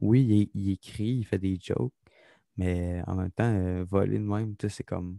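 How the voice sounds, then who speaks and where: A man with a Quebec accent, fairly low in pitch and dark, mellow in tone, at a fairly slow pace with fairly even intonation, in a dry, close sound with no echo. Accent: Québécois French. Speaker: podcast co-host, aspiring comedian. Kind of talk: casual chat.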